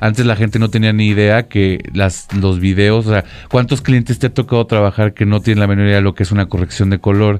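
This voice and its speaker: With a Mexican accent, a man talks at a fairly quick pace with hardly any pauses, fairly low in pitch, fairly even in intonation and very even in loudness. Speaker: photographer and photography teacher. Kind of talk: casual chat.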